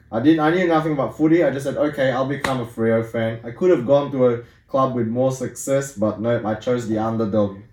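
Against noticeable background noise, a man talks at a fairly quick pace with hardly any pauses, at a medium pitch with ordinary pitch variation. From Singapore. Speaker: sports super fan. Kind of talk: casual chat.

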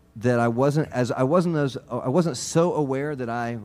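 With an American accent, a man speaks in a plain, everyday voice at a fairly quick pace, with ordinary pitch variation. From US South, Georgia. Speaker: banjo player. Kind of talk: casual chat. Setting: stage with audience.

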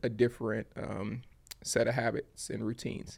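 A man's medium-pitched voice with vocal fry. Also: very clean recording, silent background. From Louisiana, Baton Rouge. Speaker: creative agency founder. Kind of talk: interview.

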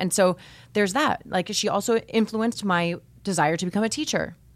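A woman with an American accent has a normal speaking voice at a medium pitch, with ordinary pitch variation. The recording is very clean with a silent background. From Miami, Florida. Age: 30s. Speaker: podcast host, former teacher. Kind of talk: interview. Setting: studio.

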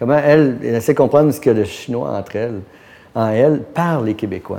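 Talking at a fairly quick pace, a man with an ordinary speaking voice holds a medium pitch. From Quebec. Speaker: art gallery owner. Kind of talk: interview. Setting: art gallery.

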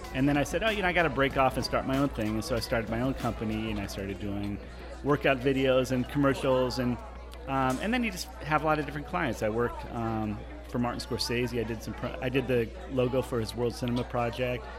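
A man talking at a very fast pace with an American accent, crowd noise in the background. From Southern California, La Jolla. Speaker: film and comedy producer. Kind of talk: casual chat.

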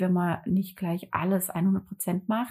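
A somewhat breathy voice on a very clean recording with a silent background. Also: woman. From northern Germany, Hamburg area. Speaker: calligraphy artist and entrepreneur. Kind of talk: casual interview conversation. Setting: living room.

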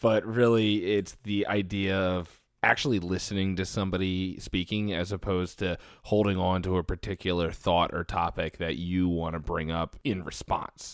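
A man with a Philadelphia accent and a very deep, low pitch, at a moderate pace with fairly even intonation, on a very clean recording with a silent background. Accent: Philadelphia-area (Delco) American. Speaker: podcast co-host. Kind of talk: casual chat.

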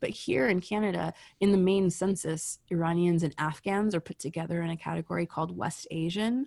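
A woman's ordinary speaking voice, fairly low and with ordinary pitch variation, at a fairly quick pace, in a dry, close sound with no echo and a very clean recording with a silent background. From United States, Iranian immigrant parents. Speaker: sociology professor. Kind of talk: interview conversation. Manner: casual with many fillers.

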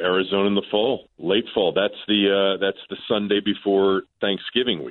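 With a normal speaking voice, a man talks in a fairly low pitch and hardly pauses at all. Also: ordinary pitch variation, moderate pace. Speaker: sports radio host. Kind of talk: casual chat. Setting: phone call.

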